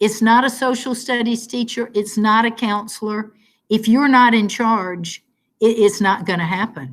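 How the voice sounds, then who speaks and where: A woman with a normal speaking voice and an American accent talks at fairly high pitch with ordinary pitch variation. Her pace is moderate, on a very clean recording with a silent background. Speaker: teacher. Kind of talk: casual chat.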